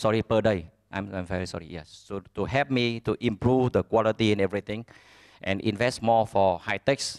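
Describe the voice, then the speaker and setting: A man with a Vietnamese accent speaks at a moderate pace in a fairly low pitch with ordinary pitch variation, in a dry, close sound with no echo. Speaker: business owner. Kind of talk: conference speech. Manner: halting.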